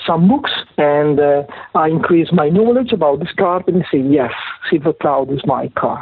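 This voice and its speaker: A man with an Italian accent talks in a fairly high pitch over noticeable background noise. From Italy (Parma). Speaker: automotive book publisher and author. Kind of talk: interview. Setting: phone call. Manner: halting.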